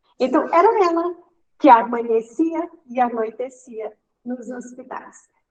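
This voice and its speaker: A woman's high voice moves very slowly, with ordinary variation in pitch. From Brazil, Maranhão (Caxias). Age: 60s. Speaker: interviewee sharing life story. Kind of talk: personal testimony.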